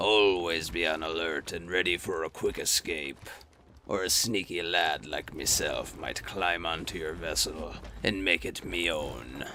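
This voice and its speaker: A man does a put-on character voice, pitched very deep and low, at a moderate pace. Clear background noise runs behind him. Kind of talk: pirate-talk storytelling. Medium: solo performance. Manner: playful, mock-pirate grammar.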